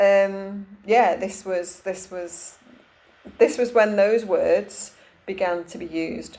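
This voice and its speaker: Someone with a Cumbrian accent speaks at a fairly slow pace with ordinary pitch variation. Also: woman. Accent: northern English (Cumbrian). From northern England, Cumbria. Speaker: holistic therapist and energy healer. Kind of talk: casual talk to camera. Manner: hesitant, many fillers and restarts.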